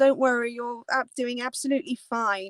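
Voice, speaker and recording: In a dry, close sound with no echo, a woman speaks at a fairly slow pace in a high-pitched voice. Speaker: Disney travel vlogger. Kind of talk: live stream chat. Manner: animated.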